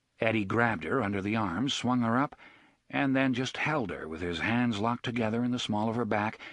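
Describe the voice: Someone does plain reading aloud.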